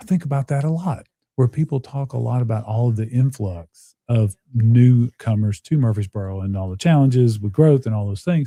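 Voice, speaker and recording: A man with a Tennessee accent, dark and mellow in tone and somewhat breathy, at medium pitch with ordinary variation, moderate pace and hardly any pauses, dry and close with no echo, on a very clean recording with a silent background. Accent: Southern US (Tennessee). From US South, Nashville, Tennessee. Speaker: podcast host. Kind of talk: casual interview chat.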